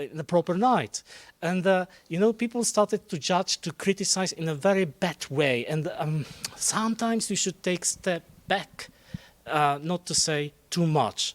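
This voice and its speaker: With a Polish accent, a man talks at a moderate pace in a high pitch, with ordinary pitch variation. The sound is dry and close, with no echo. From Poland. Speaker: Eurovision journalist. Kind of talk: casual talk show chat. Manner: halting.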